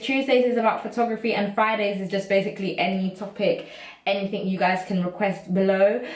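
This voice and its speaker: Noticeable background noise sits behind a woman with a British accent. She speaks at a fairly quick pace and a fairly high pitch in an animated tone. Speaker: YouTuber. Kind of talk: casual vlog monologue. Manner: fast.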